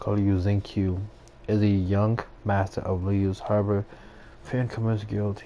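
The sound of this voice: Flat and monotone in intonation, a man speaks at a fairly slow pace with a fairly low pitch and a dark, mellow tone.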